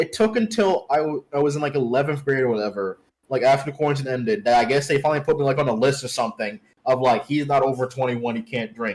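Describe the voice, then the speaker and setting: A man at a very fast pace, fairly high in pitch and lively in intonation. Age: 20s. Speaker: streamer. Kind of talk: casual chat. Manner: halting.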